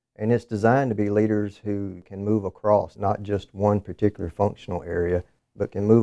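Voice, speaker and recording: Fairly quick, monotone, flat delivery from a man with a Southern US accent, fairly low in pitch, dry and close with no echo against a quiet background. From southern Alabama. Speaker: government contracting director. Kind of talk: interview.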